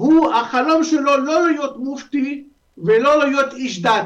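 The man's voice sits at an extremely high pitch. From Lebanon. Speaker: historian. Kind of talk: interview. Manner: halting.

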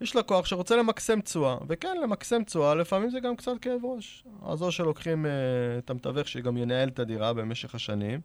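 A man with a high voice speaks at a fairly quick pace with very wide pitch swings. The recording is very clean and dry, with a silent background and a close sound with no echo. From Israel, Arad. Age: 30s. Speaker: real estate broker. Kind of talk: interview. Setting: studio.

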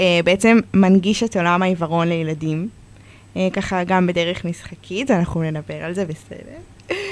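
Noticeable background noise sits under talking delivered at a moderate pace. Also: woman. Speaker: children's book author. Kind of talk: reading aloud; interview. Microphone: too far from the mic.

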